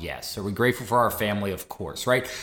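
A man talks with an American accent. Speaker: podcast host. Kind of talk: casual podcast conversation.

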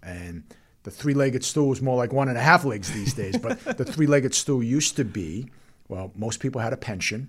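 Somewhat breathy speech comes at a moderate pace on a very clean recording with a silent background. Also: man, medium pitch for a man. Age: 50s. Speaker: financial advisor. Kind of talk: casual chat.

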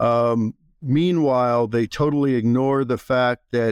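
A man speaks in an unremarkable speaking voice at a medium pitch with fairly even intonation. The sound is dry and close with no echo, over a quiet background. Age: 60s. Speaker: healthcare industry consultant. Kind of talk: casual interview. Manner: opinionated, outspoken.

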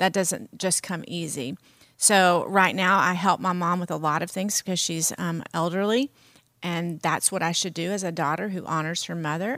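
This woman has an American accent and a fairly low pitch. She talks at a moderate pace with fairly even intonation in a normal speaking voice. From US South. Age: 50s. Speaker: pastor. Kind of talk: casual chat.

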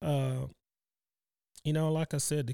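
A man with a Texan accent, a dark, mellow tone and monotone, flat intonation, on a very clean recording with a silent background. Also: dry, close sound with no echo. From Texas, Cypress. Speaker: retired rodeo calf roper and company employee. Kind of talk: interview.

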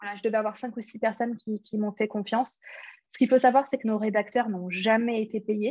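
A woman talks at a fairly quick pace with a fairly high pitch, a somewhat breathy voice and monotone, flat intonation. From London, England. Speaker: entrepreneur. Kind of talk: interview.

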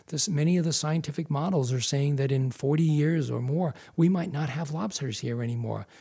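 A man with an American accent speaks at a fairly high pitch, his tone dark, mellow and somewhat breathy. He talks at a fairly quick pace with hardly any pauses and ordinary pitch variation. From US Northeast (Massachusetts). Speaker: wildlife photographer and filmmaker. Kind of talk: interview.

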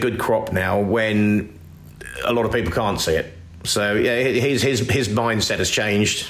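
A man speaks at a fairly slow pace and medium pitch with very even loudness and ordinary pitch variation, with audible room echo and noticeable background noise. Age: 50s. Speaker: arable farmer. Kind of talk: interview.

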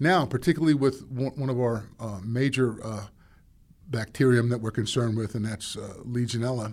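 Heard in a very clean recording with a silent background, a man with a normal speaking voice speaks at medium pitch and a moderate pace, with ordinary pitch variation. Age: 50s. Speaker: water treatment manager. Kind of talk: interview. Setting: studio.

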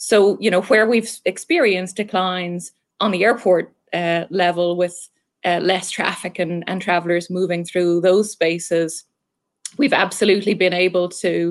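With an Irish accent, a woman speaks at a medium pitch and a fairly slow pace, her intonation fairly even, on a very clean recording with a silent background. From Ireland. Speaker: marketing executive. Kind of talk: interview.

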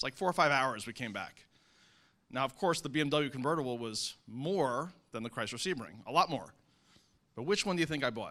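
Bright and sharp in tone, a man with an American accent talks at a very fast pace with a fairly high pitch and lively intonation, recorded very cleanly over a silent background. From New Jersey. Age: 50s. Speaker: real estate investor. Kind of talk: panel testimony.

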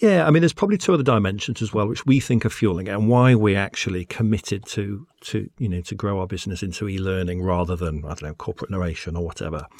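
A man with a fairly low pitch and lively intonation races along at a very fast pace with hardly any pauses. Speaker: business manager at a voiceover company. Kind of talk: casual interview chat. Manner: hesitant, with frequent fillers and repeats.

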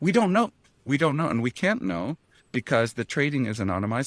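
In a very clean recording with a silent background and a dry, close sound with no echo, a man at medium pitch makes very wide pitch swings. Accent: Canadian. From Canada. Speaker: ETF research analyst. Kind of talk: podcast interview.

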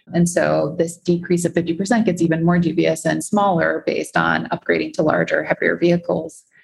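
Hardly pausing, the voice keeps a moderate pace and very even loudness. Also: woman. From US Midwest, Chicago. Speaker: bike-share executive and climate investor. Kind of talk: interview with slide presentation.

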